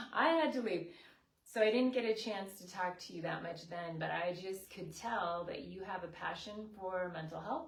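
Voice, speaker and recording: Lively intonation from a woman at medium pitch, with big swings in loudness and audible room echo. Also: moderate pace. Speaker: counselor hosting live chats. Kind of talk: casual interview. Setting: Facebook live in guest's office.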